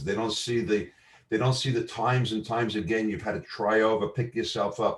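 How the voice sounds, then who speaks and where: Somewhat breathy, a man with a New York accent talks at a fairly quick pace in a very clean recording with a silent background. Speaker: marketing entrepreneur. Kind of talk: casual chat. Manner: halting.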